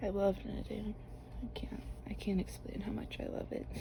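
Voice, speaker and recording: Speech comes soft-spoken and relaxed in tone. It moves at a fairly slow pace. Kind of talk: ASMR knitting talk to camera. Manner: soft-spoken, relaxed.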